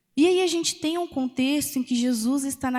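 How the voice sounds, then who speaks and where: The recording is very clean and the background silent. A woman talks at a moderate pace, her pitch varying in an ordinary way. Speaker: preacher. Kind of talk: sermon. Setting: church.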